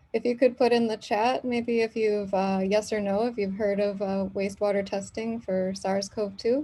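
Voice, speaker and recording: This soft-spoken voice has a dark, mellow tone and a fairly even intonation, with an American accent. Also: woman, medium pitch for a woman, moderate pace. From US Midwest (Michigan). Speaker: professor. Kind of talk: lecture.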